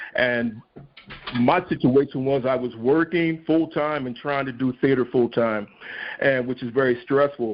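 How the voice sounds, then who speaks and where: Over noticeable background noise, a man speaks at a fairly slow pace with medium pitch and fairly even intonation. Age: 60s. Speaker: stage actor. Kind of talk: podcast interview.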